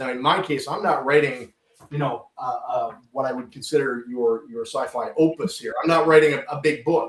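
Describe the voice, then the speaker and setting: A man with a Canadian accent and an unremarkable speaking voice talks at a moderate pace and fairly high pitch with lively intonation. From Canada. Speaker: podcast host and sci-fi writer. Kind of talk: interview. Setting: studio.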